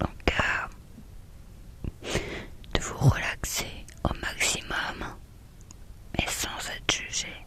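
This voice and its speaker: A woman whispers at a very slow pace with long, frequent pauses. Background noise is noticeable. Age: 30s. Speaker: ASMR creator. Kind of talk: ASMR talk to viewer. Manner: whispered.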